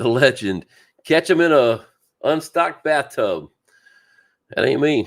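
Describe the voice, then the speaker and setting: A man with a Southern US accent at a fairly slow pace, with long, frequent pauses. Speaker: fishing channel host. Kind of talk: casual livestream chat. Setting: live stream.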